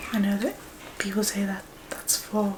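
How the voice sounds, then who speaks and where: Soft-spoken and calm, a woman talks in a gentle tone over noticeable background noise. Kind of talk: ASMR therapy role play. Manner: soft-spoken, calm, gentle.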